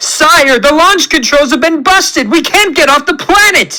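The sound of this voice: A man puts on a character voice at an extremely high pitch, bright and sharp in tone, with lively intonation at a fairly slow pace.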